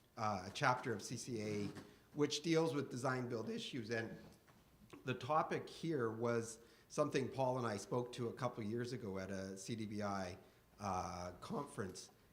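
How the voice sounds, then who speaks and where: With a Canadian accent, a man speaks at a moderate pace and medium pitch with ordinary pitch variation, and room echo can be heard. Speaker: insurance broker. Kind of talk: conference presentation.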